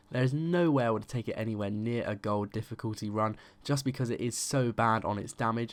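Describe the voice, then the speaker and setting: This man talks at a fairly quick pace with a British accent. His pitch sits in the medium range. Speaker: gaming YouTuber. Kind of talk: game review commentary. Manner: usually monotone; animated, passionate.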